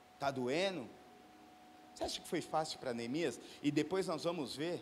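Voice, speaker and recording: Audible room echo carries a man's fairly high voice, spoken at a moderate pace with ordinary pitch variation. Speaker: preacher. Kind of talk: sermon. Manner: soft-spoken at times.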